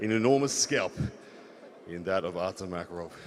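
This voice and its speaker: Fairly quick, lively-intoned speech from a man. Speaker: arm wrestling commentator. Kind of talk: live commentary. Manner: loud; animated.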